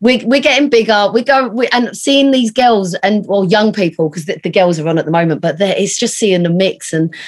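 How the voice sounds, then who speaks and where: With a British accent, a woman speaks at a medium pitch and a fairly quick pace. Her intonation is lively. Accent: regional British, noticeable. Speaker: digital agency founder and entrepreneur. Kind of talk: casual interview chat.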